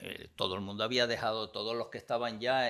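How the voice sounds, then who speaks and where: This man's voice is fairly low, with a bright, sharp tone. His intonation stays flat and monotone. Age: 80s+. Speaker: comics critic. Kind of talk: interview.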